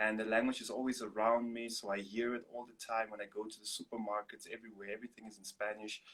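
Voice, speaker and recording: The man talks at a fairly quick pace. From Namibia. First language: Afrikaans. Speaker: singer-songwriter and artist. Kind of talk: interview.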